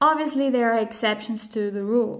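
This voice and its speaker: A woman with a non-native accent speaks at a fairly high pitch with ordinary pitch variation. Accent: foreign accent in English. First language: Spanish and Swiss German. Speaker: vlogger on multilingual parenting. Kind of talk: educational talk to camera.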